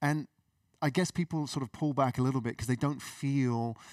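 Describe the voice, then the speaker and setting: An ordinary speaking voice moves at a moderate pace with ordinary pitch variation, recorded very cleanly against a silent background with a dry, close sound and no echo. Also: man. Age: 40s. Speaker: podcast host. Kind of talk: interview. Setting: live event.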